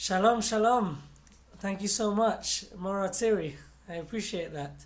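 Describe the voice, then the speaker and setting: With an English accent, a man speaks at a fairly slow pace in a high pitch with ordinary pitch variation, and audible room echo fills the room. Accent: English, noticeable to listeners. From London, England. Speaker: singer. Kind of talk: inspirational talk to children. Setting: video call, not in a studio.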